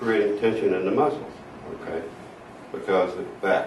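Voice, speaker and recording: A man talks, and noticeable background noise can be heard along with him. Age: 70s. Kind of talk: interview answer. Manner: hesitant, halting.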